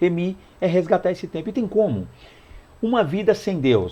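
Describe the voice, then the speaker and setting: A man speaks at high pitch with lively intonation. His tone is dark and mellow. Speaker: Bible teacher. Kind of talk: Bible lesson teaching. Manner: fast; hurried, stumbling.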